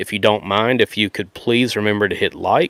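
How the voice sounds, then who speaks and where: A man's fairly low voice moves at a moderate pace with fairly even intonation. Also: dry, close sound with no echo. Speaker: Bible podcaster. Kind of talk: live podcast talk. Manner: loud.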